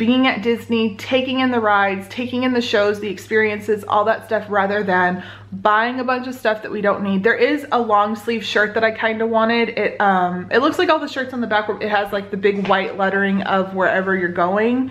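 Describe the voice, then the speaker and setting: The speech moves at a moderate pace with hardly any pauses. Pitch varies in an ordinary way. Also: woman. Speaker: family vlogger. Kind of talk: casual vlog chat. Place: home room. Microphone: phone near.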